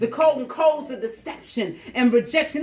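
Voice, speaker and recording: A woman talks at a moderate pace with lively intonation. Noticeable background noise runs underneath. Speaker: spoken word poet. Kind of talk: spoken word poetry performance.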